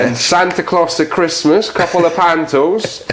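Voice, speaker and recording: Over noticeable background noise, a man speaks at a moderate pace in a playful tone. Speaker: comedian. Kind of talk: interview answer. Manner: playful, jokey.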